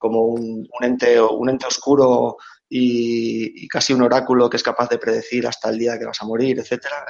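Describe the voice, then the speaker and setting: At a moderate pace, a man of medium pitch speaks in a monotone, flat intonation. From Catalonia, Spain (Reus). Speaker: big data engineer. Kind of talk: casual interview. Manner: halting, repeats words.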